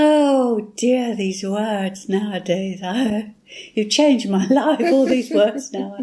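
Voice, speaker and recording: Very slowly and with ordinary pitch variation, a woman with a British accent speaks at a fairly high pitch in a dark, mellow, somewhat breathy voice. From England. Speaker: English reading tutor. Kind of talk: casual chat.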